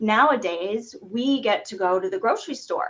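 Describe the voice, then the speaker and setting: A woman talks with an American accent in an unremarkable speaking voice. Her pitch is fairly high and her intonation lively. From US South, Chapel Hill, North Carolina. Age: 40s. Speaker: vegan fitness coach. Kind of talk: podcast interview.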